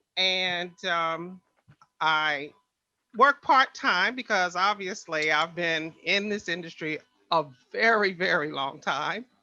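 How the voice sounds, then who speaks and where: The speaker has an American accent and talks at a very slow pace with ordinary pitch variation. Music plays in the background. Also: woman, fairly low pitch for a woman. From Washington, D.C. (Northeast). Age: 70s. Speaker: court reporter. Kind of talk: podcast interview.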